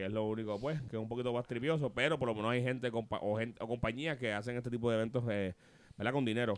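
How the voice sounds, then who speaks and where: Talking at a very fast pace, a man uses a medium pitch and fairly even intonation. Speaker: podcast host. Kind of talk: casual chat.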